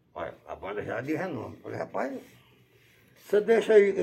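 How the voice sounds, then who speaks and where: At a fairly quick pace, a man speaks in a high pitch with a dark, mellow tone and ordinary pitch variation. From Bahia, Brazil. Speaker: musician and model aircraft hobbyist. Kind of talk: interview. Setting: at his home.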